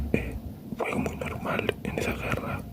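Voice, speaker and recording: A hushed whisper comes through with a fair amount of background noise. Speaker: ASMR creator. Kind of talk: improvised ASMR true-crime talk. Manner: whispered.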